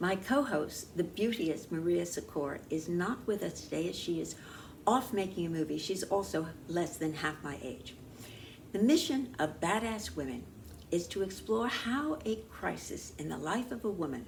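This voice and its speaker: A woman's fairly low voice with very wide pitch swings and audible room echo. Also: moderate pace. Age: 80s+. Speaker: talk show host and producer. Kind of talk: scripted talk show monologue. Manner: formal.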